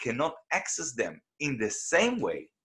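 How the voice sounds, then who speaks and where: A man speaks at a fairly high pitch with very wide pitch swings. His tone is bright and sharp. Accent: Israeli. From Israel. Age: 40s. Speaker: independent researcher. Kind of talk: interview conversation. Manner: animated; hesitant.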